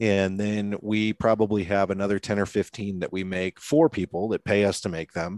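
An ordinary speaking voice with a General American accent, fairly even intonation and a moderate pace with hardly any pauses. The sound is dry and close with no echo, over a quiet background. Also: man, fairly low pitch for a man. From US Pacific Northwest, Seattle. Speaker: media company CEO and entrepreneur. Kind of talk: podcast interview.

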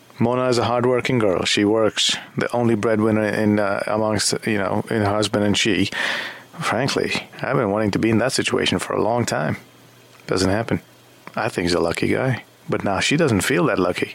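Against noticeable background noise, the speaker goes at a fairly quick pace, keeping loudness very even and pitch variation ordinary. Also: man, fairly low pitch for a man. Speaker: radio talk show host. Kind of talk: late-night call-in talk show. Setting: studio.

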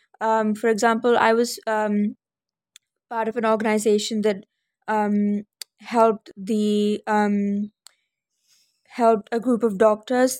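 A woman's fairly high, monotone, flat voice at a fairly slow pace. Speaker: young Indian living in UK. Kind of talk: casual interview. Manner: hesitant, filler words.

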